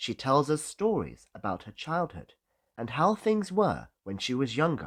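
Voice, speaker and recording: A man's fairly high-pitched voice with a British accent. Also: very clean recording, silent background. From Britain. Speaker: English teacher. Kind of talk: English-learning listening lesson.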